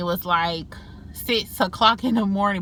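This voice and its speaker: On a very clean recording with a silent background, a woman speaks at medium pitch in a bright, sharp tone with fairly even intonation. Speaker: beauty vlogger. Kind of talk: casual vlog monologue. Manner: fast.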